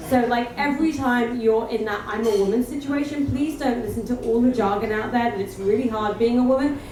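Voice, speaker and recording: Over noticeable background noise, a woman with an English accent talks in an animated tone at a high pitch and a fairly quick pace, with hardly any pauses. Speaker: entrepreneur, panelist. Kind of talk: panel discussion.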